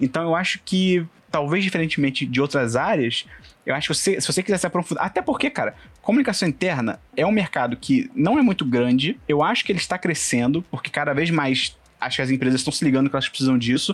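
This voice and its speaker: Very fast and lively in intonation, a man talks at a fairly high pitch. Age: 20s. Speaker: internal communications professional and podcaster. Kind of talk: casual interview chat.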